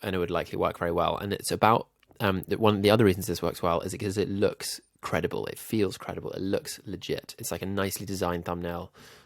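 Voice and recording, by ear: With a very clean recording and silent background, a man speaks fast in a low, nasal voice with vocal fry and little pitch movement.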